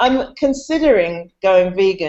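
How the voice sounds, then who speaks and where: In a British accent, a woman speaks with very wide pitch swings. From United Kingdom. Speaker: comedian and actress. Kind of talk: casual chat.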